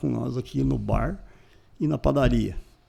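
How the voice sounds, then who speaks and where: A man's voice at a moderate pace. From southern Brazil, Paraná (São Mateus do Sul area). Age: 60s. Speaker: business owner. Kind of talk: interview storytelling.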